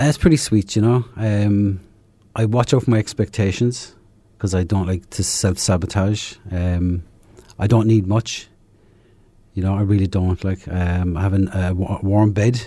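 Recorded very cleanly against a silent background, a man speaks in a fairly low voice with an Irish accent. His pace is moderate and his intonation fairly even. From southern Ireland. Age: 50s. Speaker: recovering alcoholic. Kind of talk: testimony. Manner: halting.

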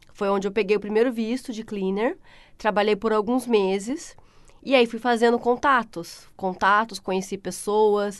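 A woman with a plain, everyday voice speaks at a moderate pace, fairly high in pitch with fairly even intonation, against a quiet background. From Brazil, São Paulo state (Pindamonhangaba, Vale do Paraíba). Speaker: tiler. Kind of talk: casual interview.

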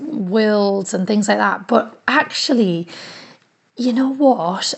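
A fairly high-pitched woman's voice, its pitch varying in an ordinary way. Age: 30s. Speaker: community radio presenter. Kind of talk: personal audio diary. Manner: animated.

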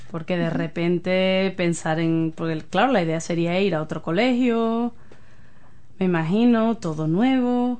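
A woman speaks at a fairly slow pace in a medium pitch. Audible room echo surrounds her voice. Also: ordinary pitch variation. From Spain. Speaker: community radio host. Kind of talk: casual interview.

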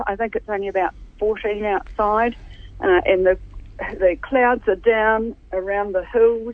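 Speaking at a fairly slow pace, this voice carries a New Zealand accent. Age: old. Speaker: retired nurse, regular contributor. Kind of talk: radio interview. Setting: phone call.

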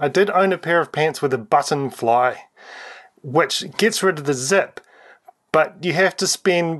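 At a fairly slow pace, a man speaks with a New Zealand accent. His pitch variation is ordinary. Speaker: community radio host. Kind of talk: interview.

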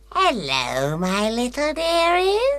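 A female-sounding voice puts on a character. It sits high in pitch. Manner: sweet, coaxing.

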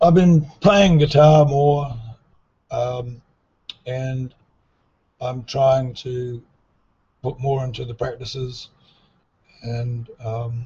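A man with an Australian accent talks very slowly, with long, frequent pauses. His medium-pitched voice is dark, mellow and somewhat breathy, with ordinary pitch variation. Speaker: musician. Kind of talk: interview. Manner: halting.

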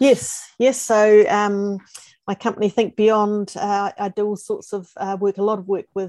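A woman speaks in a New Zealand accent with a dark, mellow tone and ordinary pitch variation. Her pace is fairly slow, and the sound is dry and close with no echo. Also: medium pitch for a woman. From New Zealand, Christchurch. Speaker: futurist and former school principal. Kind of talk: interview.

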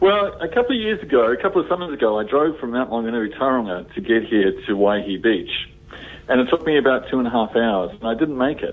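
A man's medium-pitched voice with a New Zealand accent, very fast, with very wide pitch swings and noticeable background noise. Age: old. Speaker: newspaper columnist. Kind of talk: casual radio chat. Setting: phone call. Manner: halting.

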